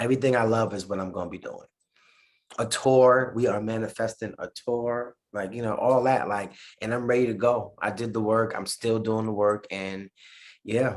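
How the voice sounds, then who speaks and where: A man with a New York accent and monotone, flat intonation against a quiet background. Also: medium pitch for a man, moderate pace. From New York City. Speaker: musician. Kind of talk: interview.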